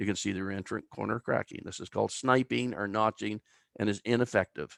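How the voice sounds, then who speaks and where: Fairly low, lively male speech at a fairly quick pace, with vocal fry and a dry, close sound with no echo. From Canada, New Brunswick (Albert County). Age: 60s. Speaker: timber engineer. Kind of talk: lecture.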